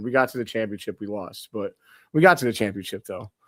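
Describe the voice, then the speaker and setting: In an ordinary speaking voice, a man with an American accent speaks at a fairly quick pace and medium pitch on a very clean recording with a silent background. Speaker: basketball podcast host. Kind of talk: casual chat.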